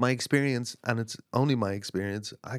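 A man with an Irish accent speaks at a moderate pace. The recording is very clean, with a silent background. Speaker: singer-songwriter. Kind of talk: casual chat. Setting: in a cottage by a stove. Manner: halting.

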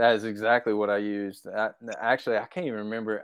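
With an Arkansas accent, a man with a fairly low pitch talks very fast. His intonation is flat and monotone. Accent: Southern US (Arkansas). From Arkansas, US South. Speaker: deer hunter. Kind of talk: casual chat.

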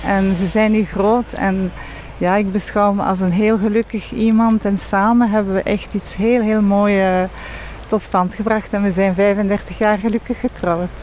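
A woman with a French accent speaks at a fairly slow pace and a medium pitch, in a monotone, flat intonation at very even loudness, with noticeable background noise. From Belgium, Leuven. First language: French (speaking Dutch). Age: 50s. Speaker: banking executive. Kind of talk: interview.

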